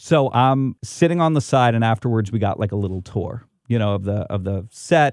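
An unremarkable speaking voice from a man, medium in pitch with ordinary pitch variation and a fairly quick pace, in a dry, close sound with no echo on a very clean recording with a silent background. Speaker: podcast host and talk show host. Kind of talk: casual interview chat; scripted narration.

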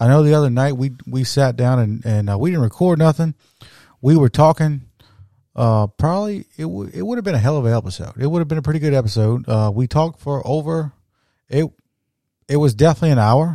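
The voice has a dark, mellow tone and lively intonation at a fairly quick pace. The sound is dry and close, with no echo. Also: man, medium pitch for a man. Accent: South Louisiana. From South Louisiana. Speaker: podcast host. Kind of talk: casual chat. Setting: home studio.

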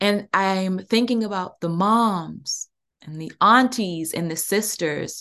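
A woman at medium pitch with an American accent and ordinary pitch variation. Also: quiet background. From US Mid-Atlantic, Prince George's County, Maryland. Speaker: podcast host and workshop facilitator. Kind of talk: workshop podcast monologue. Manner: warm, halting with many fillers.

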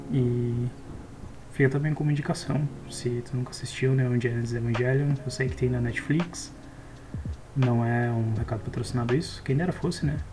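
With long, frequent pauses and fairly even intonation, a man speaks at a moderate pace amid noticeable background noise. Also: medium pitch for a man. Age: 20s. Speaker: software engineering student and podcaster. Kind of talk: casual solo monologue.

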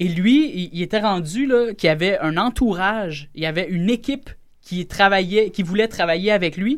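Intonation from this man is lively. His voice sits high and moves at a moderate pace. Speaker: radio guest telling a personal story. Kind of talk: casual chat. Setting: studio.

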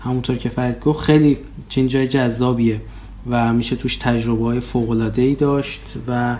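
Noticeable background noise sits behind a man talking at a fairly quick pace. His medium-pitched voice stays monotone and flat. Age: 30s. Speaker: podcast host, PhD student. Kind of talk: casual podcast intro.

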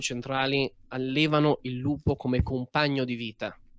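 At a moderate pace, a man uses a normal speaking voice at medium pitch, recorded dry and close with no echo against a quiet background. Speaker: game master. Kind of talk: tabletop role-play narration.

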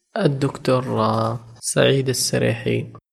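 The delivery is very slow and somewhat breathy. Intonation stays monotone and flat. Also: man. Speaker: podcast host. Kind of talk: interview. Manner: formal.

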